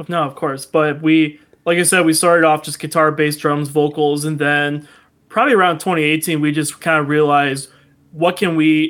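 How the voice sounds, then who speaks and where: Flat and monotone, a man speaks at a fairly quick pace. His voice sits fairly high. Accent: American. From US Midwest, Toledo, Ohio. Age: 20s. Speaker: musician. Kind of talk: casual chat.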